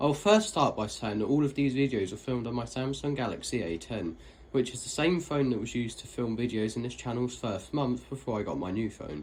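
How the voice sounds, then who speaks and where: This man's speech rushes along at a very fast clip. His intonation is lively throughout. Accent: British. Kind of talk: narrated voiceover for a lift video. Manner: casual, conversational.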